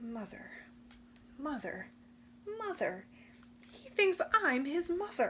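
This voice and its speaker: A woman puts on a high-pitched character voice with very wide pitch swings, speaking at a fairly slow pace with long, frequent pauses. Clear background noise is present. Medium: read story. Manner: lowered voice, mock growl.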